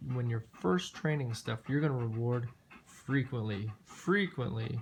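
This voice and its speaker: Here a man speaks at a moderate pace and medium pitch. His voice is somewhat breathy, with ordinary pitch variation. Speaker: dog trainer. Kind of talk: tutorial. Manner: casual, filler-heavy speech.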